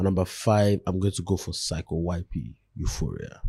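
Very deep and low, this man's pitch carries a dark, mellow tone. His voice is somewhat breathy. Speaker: podcast co-host. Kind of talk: casual banter podcast chat.

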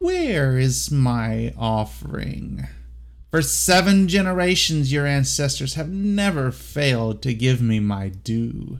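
A booming, put-on character voice from a man at a medium pitch and a very slow pace. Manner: menacing, demanding.

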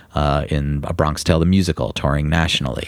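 A man with an American accent at a fairly quick pace, noticeable background noise behind him. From New York. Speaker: music booking agent. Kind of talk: casual interview.

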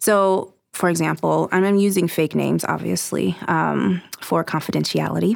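The recording is very clean and the background silent. A woman talks in an American accent. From Southern California. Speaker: anti-trafficking coordinator for a charity. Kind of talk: casual interview.

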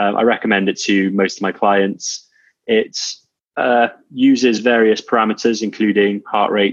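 A man at a moderate pace and fairly low pitch, in monotone with flat intonation. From Wales. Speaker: fitness coach and entrepreneur. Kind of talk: interview.

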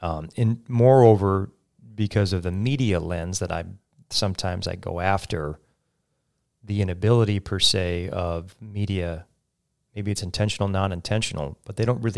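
A man talks with an American accent in an ordinary speaking voice. His pitch is fairly low, with ordinary variation. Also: very clean recording, silent background. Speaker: radio talk show host. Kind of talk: interview conversation. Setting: studio.

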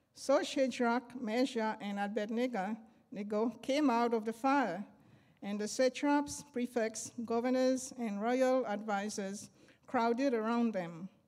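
A woman speaks at a very slow pace with a fairly high pitch. Her intonation stays fairly even. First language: not English. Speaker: church member reading scripture. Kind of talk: reading aloud.

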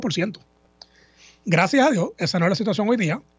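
This man's pitch is high. His intonation is lively. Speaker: lawyer, government agency head. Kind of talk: radio interview. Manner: halting.

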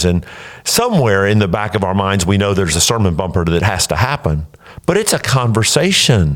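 The delivery moves at a fairly quick pace with lively intonation. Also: man. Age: 60s. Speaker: pastor. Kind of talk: casual chat. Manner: halting.

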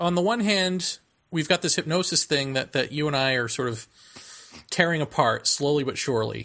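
A man with an unremarkable speaking voice talks at a moderate pace and fairly high pitch. His intonation is lively. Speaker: podcast host. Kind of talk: casual chat.

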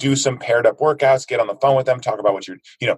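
A man with an American accent, somewhat breathy, with ordinary pitch variation. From United States. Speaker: fitness movement co-founder. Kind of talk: interview. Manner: animated.

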